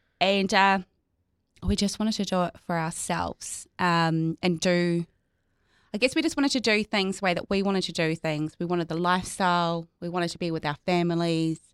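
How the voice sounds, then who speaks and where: A woman with a New Zealand accent speaks at a fairly quick pace in a fairly low voice with fairly even intonation. The recording is very clean, dry and close, with a silent background and no echo. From New Zealand, North Island. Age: 30s. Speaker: insurance adviser and business owner. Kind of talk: casual interview.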